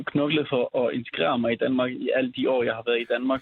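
A man's monotone, flat intonation. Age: 20s. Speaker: youth counsellor and social work student. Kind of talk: remote interview. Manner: halting.

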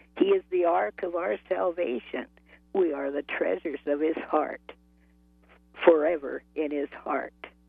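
Music plays behind a woman whose voice is very deep and low in pitch yet lively in intonation. She talks at a fairly slow pace, leaving long, frequent pauses. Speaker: caller. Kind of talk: testimony. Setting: phone call. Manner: halting.

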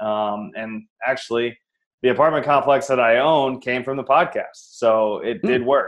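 A man's unremarkable speaking voice holds a medium pitch, moderate pace and ordinary pitch variation. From Iowa, US Midwest. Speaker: real estate investor. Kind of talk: interview.

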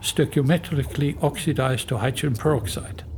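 With a German accent, a man talks at a fairly high pitch and with ordinary pitch variation. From Germany. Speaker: geoscience professor. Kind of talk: interview explanation.

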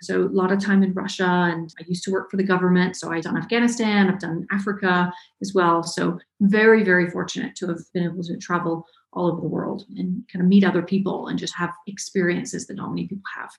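Speaking at a very fast pace, a woman with an American accent has a medium pitch, a somewhat breathy voice and monotone, flat intonation. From US South, North Georgia. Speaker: web developer and online educator. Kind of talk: interview.

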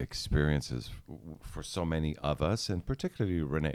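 A man's very deep, low voice with lively intonation. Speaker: real estate radio host and former paramedic. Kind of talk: casual chat. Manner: projects loudly.

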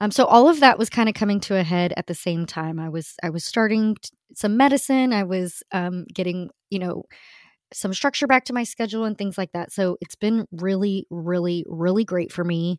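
This woman has a medium pitch, and her pitch varies in an ordinary way. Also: moderate pace. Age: 40s. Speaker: podcast host. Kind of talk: casual monologue. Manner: animated.

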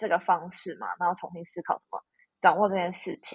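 At a moderate pace, a woman talks in an ordinary speaking voice at a medium pitch. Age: 30s. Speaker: podcast guest. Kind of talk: casual chat.

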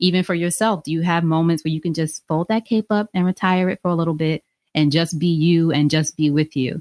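In a very clean recording with a silent background and a dry, close sound with no echo, a woman speaks in an unremarkable speaking voice, fairly low and fairly even in intonation. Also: fairly quick pace. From New York, Long Island. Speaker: podcast host and author. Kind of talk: interview conversation.

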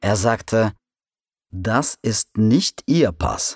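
A man's fairly low pitch and lively intonation at a very slow pace, in a dry, close sound with no echo, on a very clean recording with a silent background. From Russia, provincial town. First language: Russian (speaking German). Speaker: immigrant sharing personal story. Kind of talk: scripted narration. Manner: slow and clear.

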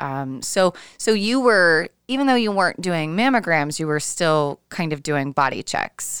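Here a woman talks at a fairly slow pace, her fairly low voice making very wide pitch swings. The sound is dry and close, with no echo. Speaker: podcast host and breast cancer survivor. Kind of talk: interview conversation. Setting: remote call across time zones.

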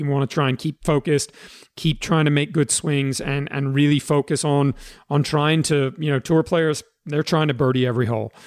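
This man has a plain, everyday voice with fairly high pitch, fairly even intonation and a moderate pace, captured in a dry, close sound with no echo. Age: 50s. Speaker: golf instructor and podcast host. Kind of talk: casual interview.

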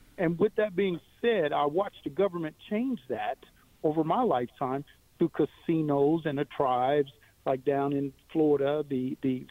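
Using an unremarkable speaking voice, a man talks at a fairly slow pace with a fairly high pitch and ordinary pitch variation. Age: 60s. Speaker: caller, former teacher and military veteran. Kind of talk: radio call-in. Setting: phone call.

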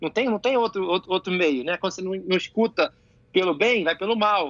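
Here a man talks at a fairly quick pace in a high voice. His pitch varies in an ordinary way. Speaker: jiu-jitsu athlete and coach. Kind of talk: casual chat. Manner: animated.

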